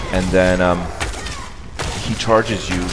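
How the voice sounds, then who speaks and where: Over noticeable background noise, a man with a non-native accent speaks at a moderate pace in a very deep, low pitch with ordinary pitch variation. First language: not English. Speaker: gamer. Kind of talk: gameplay commentary.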